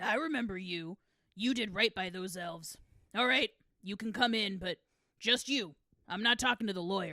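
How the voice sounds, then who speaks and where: A woman's raspy, put-on character voice at medium pitch, with ordinary pitch variation, a moderate pace and long, frequent pauses, in a dry, close sound with no echo. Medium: audio drama. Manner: gruff, defensive.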